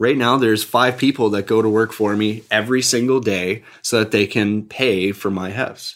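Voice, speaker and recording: This man has an unremarkable speaking voice, fairly low in pitch with fairly even intonation. He keeps a moderate pace with hardly any pauses. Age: 20s. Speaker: real estate investor. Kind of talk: podcast interview.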